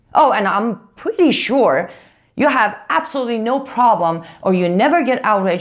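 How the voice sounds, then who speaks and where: With a non-native accent, a woman speaks in an animated tone, her pitch swinging very widely. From outside the US. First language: not English. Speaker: political commentator. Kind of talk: video commentary rebuttal.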